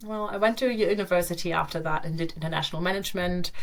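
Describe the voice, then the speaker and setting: Talking very fast, a woman uses a fairly low pitch. There is noticeable background noise and audible room echo. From Germany. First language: German. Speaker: digital nomad and yoga teacher. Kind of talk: podcast interview, casual chat.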